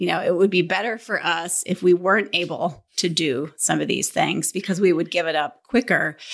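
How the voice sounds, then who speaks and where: A woman with an American accent and a plain, everyday voice speaks at a moderate pace with hardly any pauses, her fairly low pitch showing ordinary variation, in a very clean recording with a silent background. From northern Minnesota. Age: 50s. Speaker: real estate team leader. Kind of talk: interview.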